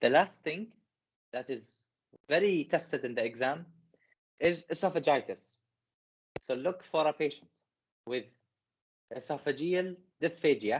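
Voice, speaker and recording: Long pauses come often in this moderately paced speech, set against a quiet background. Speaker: medical teacher. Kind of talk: lecture. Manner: halting.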